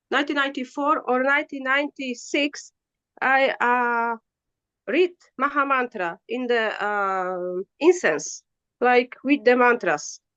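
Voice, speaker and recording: In a Polish accent, a woman speaks at a fairly slow pace with a high pitch, lively intonation and a bright, sharp tone, recorded dry and close with no echo. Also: quiet background. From Poland. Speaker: spiritual practitioner. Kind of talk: interview. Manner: halting.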